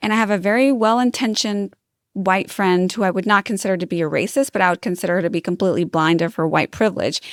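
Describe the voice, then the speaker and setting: At a fairly quick pace, a woman talks with a medium pitch. The sound is dry and close with no echo, on a very clean recording with a silent background. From US East Coast, Puerto Rican family. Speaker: podcast host, nurse and lactation consultant. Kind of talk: casual interview chat. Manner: casual, hesitant with fillers.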